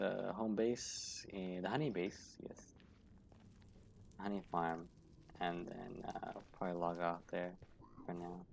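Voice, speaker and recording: Very slow speech broken by long, frequent pauses, with fairly even intonation. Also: man, very deep, low pitch for a man. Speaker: gaming streamer. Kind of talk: casual gameplay commentary. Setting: at home, living room.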